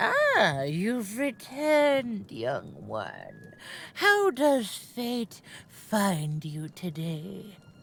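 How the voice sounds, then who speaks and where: A woman puts on a character voice at a medium pitch. She speaks at a very slow pace. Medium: video game. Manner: cryptic, knowing, gentle.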